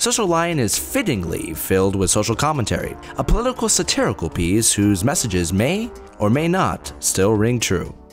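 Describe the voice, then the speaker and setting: Over music in the background, the words come at a moderate pace. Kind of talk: scripted review intro narration.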